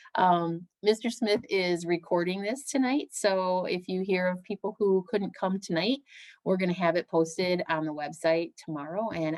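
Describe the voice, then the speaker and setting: A woman with an ordinary speaking voice talks at a moderate pace and medium pitch, with hardly any pauses. Her pitch varies in an ordinary way, and the sound is dry and close with no echo. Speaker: school principal. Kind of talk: presentation to parents. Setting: video call.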